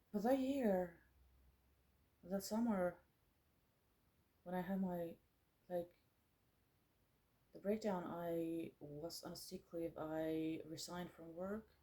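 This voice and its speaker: With a Finnish accent, a woman speaks at a very slow pace with long, frequent pauses, a fairly low pitch with ordinary pitch variation, a dark, mellow tone and big swings in loudness. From Finland. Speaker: musician and artist, former psychiatric nurse. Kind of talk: personal vlog monologue. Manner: halting, many fillers.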